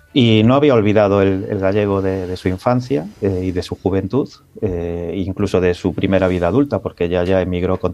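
Very deep and low, a man's voice carries a dark, mellow tone at a moderate pace with hardly any pauses and ordinary pitch variation. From born in London to Galician emigrants, Galicia. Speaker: novelist. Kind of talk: radio interview. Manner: halting with fillers.

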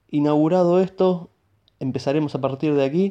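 A man speaks at a moderate pace in a fairly high pitch, in a dark, mellow tone. His pitch variation is ordinary, and the background is quiet. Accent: Rioplatense. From Buenos Aires, Argentina. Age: 30s. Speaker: podcast host, programmer. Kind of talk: solo podcast introduction.

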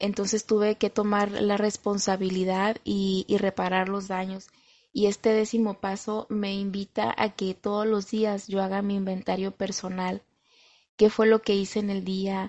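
A woman's medium-pitched, flat monotone at a fairly slow pace. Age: 30s. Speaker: recovery group member sharing testimony. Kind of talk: testimony.

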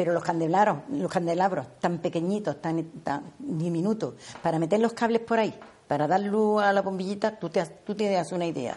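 The woman's voice has a dark, mellow tone and a fairly low pitch, moving at a moderate pace with ordinary pitch variation. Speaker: seamstress, embroiderer. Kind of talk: interview.

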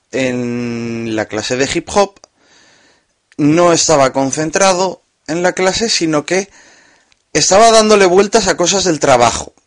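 A very slow man's voice, fairly high in pitch, with lively intonation and a dry, close sound with no echo. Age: 20s. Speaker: podcaster. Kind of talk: personal monologue.

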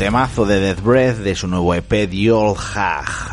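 Over noticeable background noise, a man talks at a very slow pace in a very deep, low pitch. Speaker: music podcast host. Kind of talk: casual radio-style show presentation. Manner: animated.

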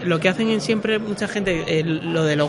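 In a room with audible echo and noticeable background noise, a man with a high pitch speaks at a moderate pace. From Peru. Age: 20s. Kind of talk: casual chat.

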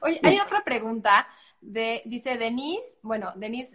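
Very wide pitch swings run through a woman's high, bright, sharp voice as she speaks at a moderate pace. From Mexico, Puebla. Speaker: online show host. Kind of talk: live interview. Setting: live stream.

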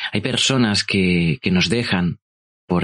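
The man talks at a very slow pace with ordinary pitch variation. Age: 30s. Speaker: podcast host. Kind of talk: personal storytelling. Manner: halting.

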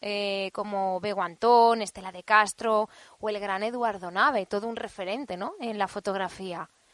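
Over a quiet background, a woman in a plain, everyday voice speaks at a moderate pace and medium pitch with fairly even intonation and big swings in loudness, the sound dry and close with no echo. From Spain, Alcoy (Alicante). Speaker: podcast host. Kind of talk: interview. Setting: studio.

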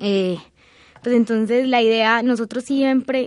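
The delivery is fairly slow, with fairly even intonation. The background is quiet. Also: woman. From Colombia, Antioquia (San Rafael). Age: 20s. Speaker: agricultural engineer. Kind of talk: personal testimony interview. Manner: hesitant, many filler sounds.

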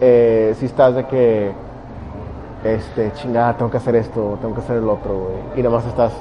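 Over noticeable background noise, a man speaks with a Mexican accent in a monotone, flat intonation. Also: medium pitch for a man, moderate pace. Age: 20s. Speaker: stand-up comedian and engineer. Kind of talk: casual interview chat.

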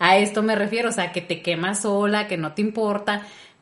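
At a moderate pace, a woman speaks in a plain, everyday voice of medium pitch. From rural Mexico. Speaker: podcast co-host. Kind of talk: casual chat.

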